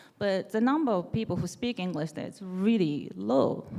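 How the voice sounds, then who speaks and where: A woman with a Japanese accent has a dark, mellow tone at a fairly low pitch, with very wide pitch swings at a moderate pace. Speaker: developer advocate. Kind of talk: conference talk. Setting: stage with audience.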